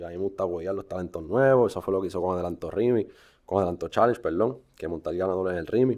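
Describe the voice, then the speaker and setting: At a very fast pace, a man speaks in a very deep, low voice. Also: ordinary pitch variation, quiet background. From Puerto Rico, Río Grande. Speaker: musician. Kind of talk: casual chat.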